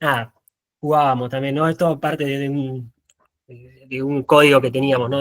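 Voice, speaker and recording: Talking at a fairly quick pace, a man has a fairly high pitch. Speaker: photographer. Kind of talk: talk presentation. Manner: fast; halting.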